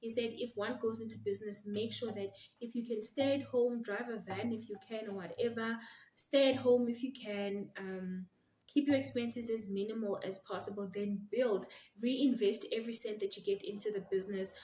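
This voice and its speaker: Somewhat breathy and dark, mellow in tone, a woman speaks at a moderate pace in a fairly high pitch with fairly even intonation. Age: young. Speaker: attorney and law firm owner. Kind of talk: vlog monologue. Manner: soft-spoken.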